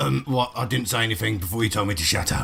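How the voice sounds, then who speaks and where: A raspy, put-on character voice from a man, fairly low in pitch, with a very fast pace, lively intonation and very even loudness. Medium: actual play. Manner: crude, befuddled.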